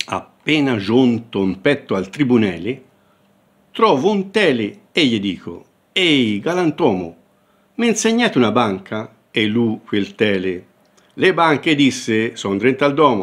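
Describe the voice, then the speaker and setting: A man's medium-pitched voice with very wide pitch swings, fairly slow pace and long, frequent pauses. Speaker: professor. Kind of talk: dialect poetry reading.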